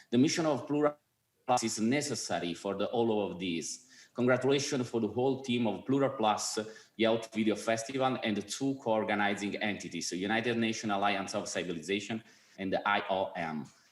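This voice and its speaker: A man with an Italian accent talks at a fairly quick pace and medium pitch, with ordinary pitch variation. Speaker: film festival president. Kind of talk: award presentation speech.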